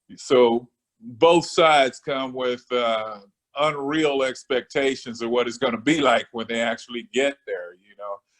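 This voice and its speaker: Using an ordinary speaking voice, a man talks at a fairly slow pace with medium pitch, fairly even intonation and big swings in loudness. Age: 60s. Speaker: business owner. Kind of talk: casual interview. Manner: relaxed, conversational with frequent fillers.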